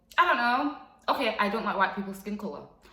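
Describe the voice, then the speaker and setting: A woman's voice has an animated tone and lively intonation at medium pitch. There is audible room echo. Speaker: vlogger. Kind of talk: casual vlog monologue.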